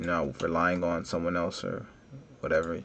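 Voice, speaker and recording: A man's very deep, low voice with vocal fry at a fairly quick pace. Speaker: 3D modeling tutorial creator. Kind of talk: tutorial. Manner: casual, conversational.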